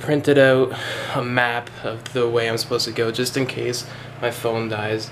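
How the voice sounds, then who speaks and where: The delivery is monotone and flat. Noticeable background noise sits under it. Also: man. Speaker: vlogger. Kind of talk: casual vlog chat. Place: home room. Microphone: phone near.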